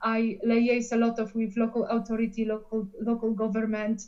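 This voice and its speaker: A woman speaks in a strong Polish accent. Her tone is dark and mellow. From Poland. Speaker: coaching client. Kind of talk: coaching session.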